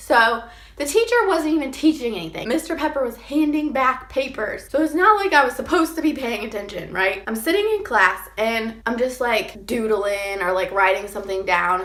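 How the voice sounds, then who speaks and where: Over noticeable background noise, a high-pitched woman talks at a moderate pace with very wide pitch swings and hardly any pauses. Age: 20s. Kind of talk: casual storytime talk to camera.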